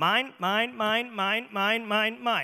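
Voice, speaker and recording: Using a put-on character voice, a man speaks at a high pitch with fairly even intonation. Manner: greedy, repetitive.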